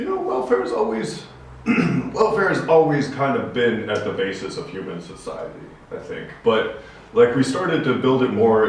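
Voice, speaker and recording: There is noticeable background noise along with audible room echo. Through it, a man talks with an American accent. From USA. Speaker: podcast co-host. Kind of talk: casual discussion.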